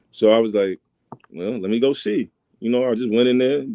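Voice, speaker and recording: A man at a medium pitch, very fast pace and fairly even intonation. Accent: American. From New York, Bronx. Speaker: high school basketball coach. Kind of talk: casual interview.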